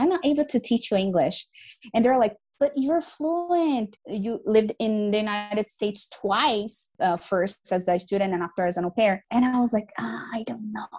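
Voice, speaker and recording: A woman talks at a moderate pace with a Brazilian accent. Her intonation is lively. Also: fairly high pitch for a woman. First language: Portuguese. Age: 20s. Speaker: English teacher. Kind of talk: casual chat. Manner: talkative; animated.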